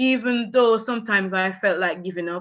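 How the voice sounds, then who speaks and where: A woman speaks with a Jamaican accent and fairly even intonation. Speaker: teacher. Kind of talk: testimony.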